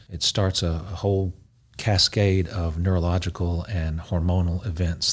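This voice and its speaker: A man with a Southern US accent speaks in a very deep, low, somewhat breathy voice. His intonation is monotone and flat. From East Tennessee (Knoxville). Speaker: cardiologist. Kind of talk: interview. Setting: studio.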